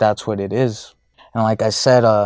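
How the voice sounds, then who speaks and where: In a very clean recording with a silent background, a man speaks at a moderate pace, his fairly low pitch delivered in monotone, flat intonation. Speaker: men's self-improvement podcaster. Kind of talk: casual monologue. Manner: halting, many fillers and repetitions.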